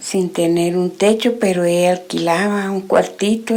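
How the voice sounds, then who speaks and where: The intonation here stays fairly level. It is an unremarkable speaking voice. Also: woman. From Guatemala, Guatemala City. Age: 60s. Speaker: testimony giver. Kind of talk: religious testimony.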